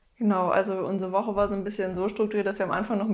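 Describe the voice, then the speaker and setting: A woman's voice at a medium pitch. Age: young. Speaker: festival organizer. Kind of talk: casual interview.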